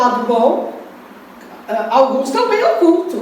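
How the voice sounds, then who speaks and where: A loud voice with very wide pitch swings comes through audible room echo and noticeable background noise. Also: woman. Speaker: spiritist lecturer. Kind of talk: lecture.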